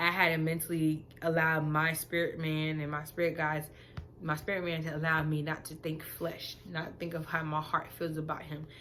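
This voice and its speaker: A woman's very deep, low voice in a flat monotone, with music in the background and audible room echo. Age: 20s. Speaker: vlogger. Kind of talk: casual monologue to camera.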